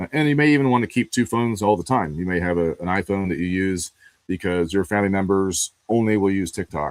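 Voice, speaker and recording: A man with an American accent talks at a very fast pace, with a fairly low pitch and ordinary pitch variation, in a dry, close sound with no echo. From northeastern US (New Hampshire, Pennsylvania). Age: 40s. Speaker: digital privacy and investigation expert. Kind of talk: live stream interview conversation. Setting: live video stream. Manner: casual, many filler words.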